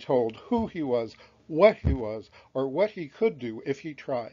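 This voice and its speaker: In an ordinary speaking voice, a man talks with lively intonation at a moderate pace. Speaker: author reading his own book. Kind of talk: children's history audiobook reading.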